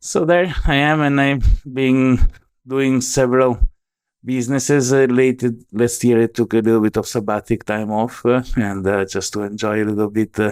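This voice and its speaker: With an Italian accent, a man speaks at a moderate pace and medium pitch, his pitch varying in an ordinary way, on a very clean recording with a silent background. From Italy, Venice area. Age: 40s. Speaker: tech entrepreneur, blockchain expert. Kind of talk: interview.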